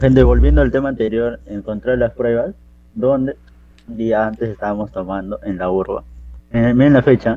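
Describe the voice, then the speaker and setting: A man's medium-pitched voice, dark and mellow in tone, at a moderate pace with ordinary pitch variation. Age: 20s. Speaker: systems engineering graduate. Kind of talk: casual chat. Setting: video call.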